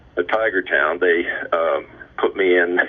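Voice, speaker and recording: A man talks over noticeable background noise. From Indiana, US Midwest. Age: 70s. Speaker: former baseball player. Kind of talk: interview storytelling. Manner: halting, many fillers.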